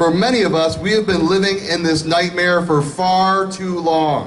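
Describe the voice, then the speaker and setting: Over light background noise, a man with an American accent talks at a moderate pace in a high pitch. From Michigan. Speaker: state senator, political speaker; speaker. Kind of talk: rally speech, political stump speech. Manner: earnest, building to a rousing finish. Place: street.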